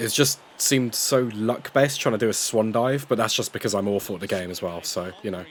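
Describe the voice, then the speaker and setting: A man with a British accent talks at a fairly quick pace with lively intonation over noticeable background noise. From UK. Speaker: gaming YouTuber. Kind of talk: video game commentary narration.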